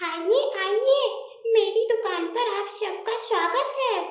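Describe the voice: In a put-on character voice, a woman speaks at an extremely high pitch and a fairly slow pace, with a clear echo around her.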